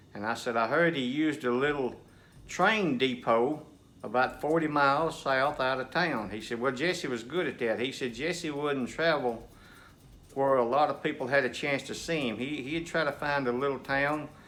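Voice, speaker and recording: In a room with audible echo, a man talks at a moderate pace with a fairly high pitch, a bright, sharp tone and ordinary pitch variation. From Nashville, Tennessee. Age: 60s. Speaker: storyteller, local history buff. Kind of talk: casual storytelling. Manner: folksy, halting with fillers.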